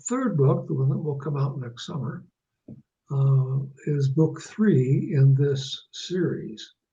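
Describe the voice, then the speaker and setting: A somewhat breathy man with an American accent, very slow pace and ordinary pitch variation. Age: 80s+. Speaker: author. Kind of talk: interview. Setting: phone call.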